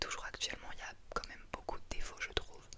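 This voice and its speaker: Amid noticeable background noise, a woman keeps a moderate pace while whispering. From France. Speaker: ASMR creator. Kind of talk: casual talk to camera, FAQ answers. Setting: studio, home recording. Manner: soft-spoken, whispering.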